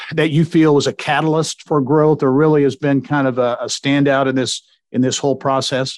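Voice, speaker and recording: Against a quiet background, a man in an ordinary speaking voice talks at a moderate pace and a fairly high pitch, the sound dry and close with no echo. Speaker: podcast host. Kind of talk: interview, host intro.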